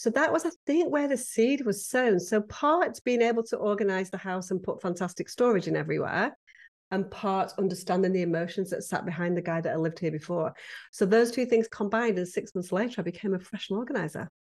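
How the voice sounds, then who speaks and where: A woman with a British accent at a very fast pace and medium pitch, her intonation lively, over a quiet background. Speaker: professional home organizer. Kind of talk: interview.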